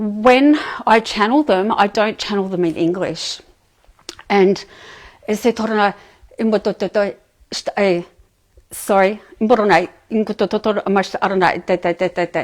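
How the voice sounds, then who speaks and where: A woman talks at a moderate pace and medium pitch, with ordinary pitch variation and long, frequent pauses. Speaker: channeler, spiritual medium. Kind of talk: talk to live audience. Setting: live audience, streamed online. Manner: soft-spoken; hesitant, many fillers.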